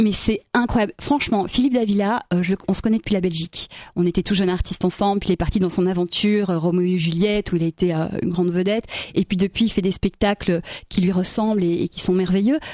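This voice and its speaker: A woman talks at a very fast pace in a dark, mellow tone at a medium pitch. The sound is dry with no echo, over a quiet background. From Belgium (Brussels); Belgium. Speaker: singer and stage performer; interviewee. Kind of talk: radio interview. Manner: animated. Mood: warm, enthusiastic. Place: studio. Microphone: studio mic.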